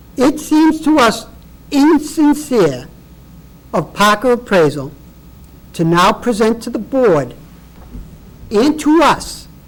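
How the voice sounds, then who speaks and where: A man speaks at an extremely high pitch and a very slow pace, with very wide pitch swings, long and frequent pauses, and noticeable background noise. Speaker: property owner appealing assessment. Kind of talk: public hearing testimony. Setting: public board meeting. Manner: loud; animated.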